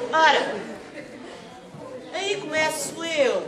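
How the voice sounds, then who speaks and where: Room echo is audible around a woman's voice, with noticeable noise in the background. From Portugal (Caldas da Rainha). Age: 60s. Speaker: children's author and English teacher. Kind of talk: talk to school students.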